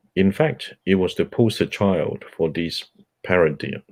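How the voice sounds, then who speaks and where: A man with a Cantonese accent at a fairly slow pace. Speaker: book club host. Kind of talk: reading aloud. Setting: audio chat room broadcast.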